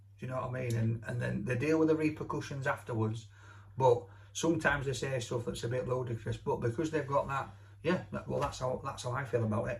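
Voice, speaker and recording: A man with a Yorkshire accent, medium pitch and a very fast pace. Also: ordinary pitch variation. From Yorkshire, Barnsley. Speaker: radio host. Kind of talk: casual chat. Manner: animated.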